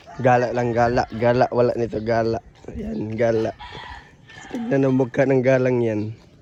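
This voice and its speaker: Through noticeable background noise, a man speaks at a moderate pace and medium pitch with fairly even intonation. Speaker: vlogger, parent. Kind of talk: casual vlog chat. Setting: outdoors, walking.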